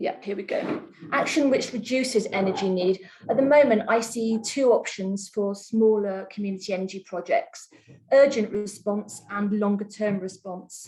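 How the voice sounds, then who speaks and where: A woman at medium pitch and moderate pace, with ordinary pitch variation and noticeable background noise. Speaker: community energy project manager. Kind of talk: webinar presentation. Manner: soft-spoken. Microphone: too quiet.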